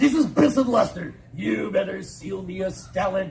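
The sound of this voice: The intonation rises and falls in a lively way. It comes from an unforced reading voice.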